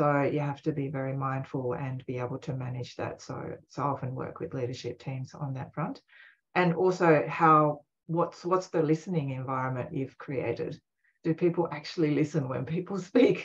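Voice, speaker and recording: A woman speaks in a very deep, low voice that is somewhat breathy. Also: ordinary pitch variation, moderate pace. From Japan. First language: Japanese. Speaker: leadership consultant and author. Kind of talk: podcast interview. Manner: soft-spoken.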